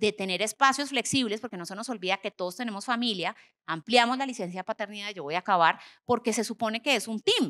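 A woman speaks at a fairly high pitch with lively intonation. Her tone is bright and sharp. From Colombia. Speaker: HR executive, panelist; panelist. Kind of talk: panel discussion on stage. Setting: conference stage with audience. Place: stage. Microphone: handheld.

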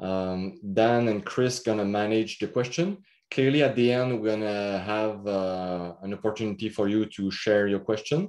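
A man's fairly low voice with a French accent, fairly even intonation and a quiet background. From Quebec. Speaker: agronomist; presenter. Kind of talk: workshop presentation. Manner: halting, many fillers. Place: home room. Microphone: webcam.

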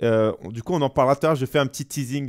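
A man speaks against a quiet background. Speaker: gaming streamer and debate show host. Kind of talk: casual live-stream debate. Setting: live stream. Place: home room. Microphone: headset.

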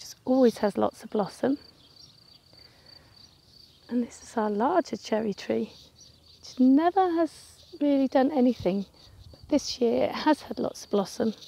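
At a moderate pace, a woman speaks with lively intonation in a dry recording with no echo. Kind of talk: casual vlog chat. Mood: cheerful, pleased. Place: garden. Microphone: phone near.

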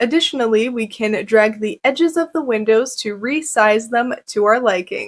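A woman talks at a moderate pace with a high pitch and ordinary pitch variation. The background is quiet. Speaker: presenter. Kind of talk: tutorial.

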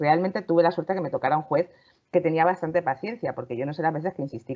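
Her pitch very deep and low, a woman talks with ordinary pitch variation. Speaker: lawyer, panel regular. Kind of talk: casual panel discussion. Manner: loud.

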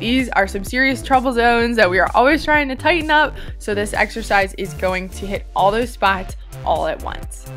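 Faint music plays in the background as a woman talks at a moderate pace. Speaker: fitness instructor. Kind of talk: workout instruction. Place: beach.

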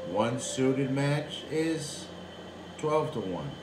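A man speaks over noticeable background noise. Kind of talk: casual tutorial commentary. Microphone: phone near.

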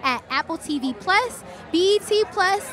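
With a raised, projected voice, a woman speaks in a dry sound with no echo while faint music plays in the background. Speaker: event host. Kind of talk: presenter intro to camera. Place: street. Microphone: handheld.

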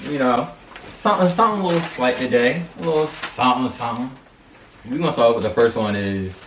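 A man talking at a very fast pace with lively intonation, audible room echo and light background noise. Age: 20s. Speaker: YouTuber. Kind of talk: casual chat. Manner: animated. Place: home room. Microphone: camera far.

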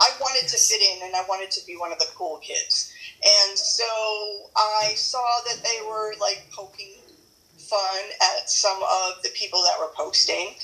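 Speaking at a moderate pace, the woman leaves long, frequent pauses. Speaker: keto group admin. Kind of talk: casual chat. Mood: cheerful, chatty. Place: kitchen. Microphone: phone near.

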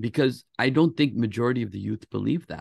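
With vocal fry and ordinary pitch variation, a man talks at a moderate pace against a quiet background in a dry sound with no echo. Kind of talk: interview conversation. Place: home room. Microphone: video call.

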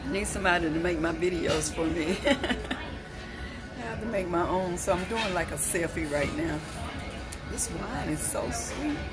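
A woman speaks at a fairly slow pace while clear music sounds behind her. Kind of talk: casual vlog chat. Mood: relaxed and happy. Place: cafe. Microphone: phone near.

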